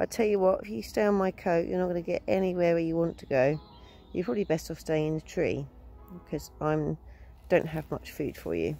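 A woman talks at a fairly quick pace in a very deep, low, dark and mellow voice, with dry sound, no echo and light background noise. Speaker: vlogger. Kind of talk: casual vlog chat. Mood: cheerful, chatty. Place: forest. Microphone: phone near.

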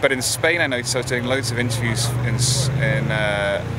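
A man speaks over loud background noise. The sound is dry, with no echo. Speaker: interviewee. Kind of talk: interview answer. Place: street.

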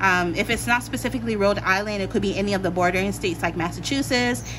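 A woman rushes along at a very fast pace, with noticeable noise in the background. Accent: American. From Pennsylvania, US. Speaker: tarot reader. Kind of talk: tarot pick-a-card reading. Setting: home recording with meditation music. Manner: casual, filler-heavy.

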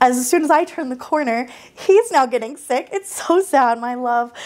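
A woman talks at a moderate pace in an animated tone, her pitch high. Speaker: baking channel host. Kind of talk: baking tutorial. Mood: warm, cheerful, sympathetic. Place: kitchen. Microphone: lapel.

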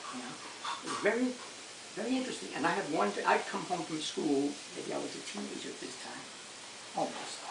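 A man talks at a fairly quick pace, broken by long, frequent pauses. Noticeable background noise runs behind him. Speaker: grandfather telling stories. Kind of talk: storytelling, recounting childhood memories. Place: home room. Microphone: camera far.

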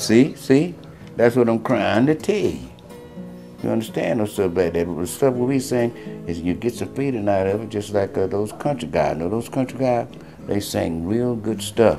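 With clear music in the background, a man speaks at a moderate pace in a fairly low pitch, his intonation lively. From North Carolina, USA. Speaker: blues singer. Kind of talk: interview answer. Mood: emphatic, opinionated.

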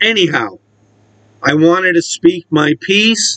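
The sound is dry and close with no echo as a high-pitched man speaks very slowly. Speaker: wrestling commentary YouTuber. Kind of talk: opinion monologue.

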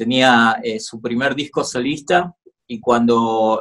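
A man at a very slow pace over a quiet background. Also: big swings in loudness. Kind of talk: interview answer. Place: home room. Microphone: phone near.

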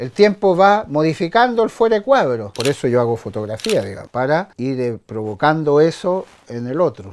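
A man talks at a moderate pace with hardly any pauses, in a fairly high voice with very wide pitch swings. Light background noise is present. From France. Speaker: photographer. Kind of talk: personal storytelling. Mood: reflective, storytelling. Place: home room.

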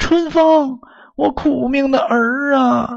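A man puts on a character voice with an extremely high pitch and vocal fry. He speaks at a slow pace with fairly even intonation.

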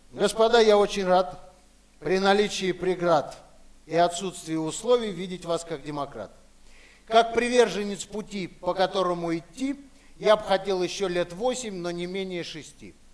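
A man's high voice at a fairly slow pace, with ordinary pitch variation and long, frequent pauses. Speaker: storyteller. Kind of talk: theatrical rhymed storytelling with character voices. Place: stage. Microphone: headset.

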